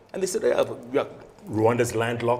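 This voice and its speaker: The man's fairly brisk speech comes through with noticeable noise in the background. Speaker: television news anchor and journalist. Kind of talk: casual interview answer. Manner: conversational, confident, animated.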